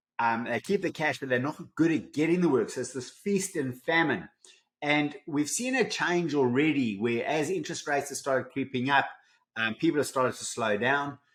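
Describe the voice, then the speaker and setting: In a South African accent, a man speaks at a moderate pace with a fairly high pitch and ordinary pitch variation. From South Africa, Johannesburg. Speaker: business coach. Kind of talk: podcast interview.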